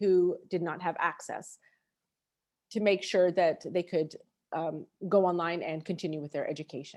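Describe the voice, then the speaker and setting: This is a woman with an American accent. She speaks at a moderate pace. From USA. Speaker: education researcher. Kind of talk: webinar presentation. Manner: halting.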